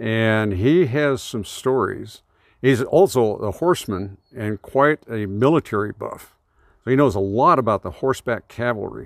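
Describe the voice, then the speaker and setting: In a normal speaking voice with an American accent, the speaker goes at a fairly slow pace with lively intonation, on a very clean recording with a silent background and a dry, close sound with no echo. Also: man, medium pitch for a man. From northern California near the Oregon border. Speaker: shooting range club president. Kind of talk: casual interview.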